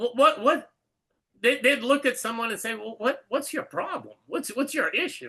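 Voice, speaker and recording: Raised and projected, a man's extremely high voice sounds bright and sharp, with lively intonation. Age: 70s. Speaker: Torah study teacher. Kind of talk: religious text study discussion. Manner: halting, many repeated words.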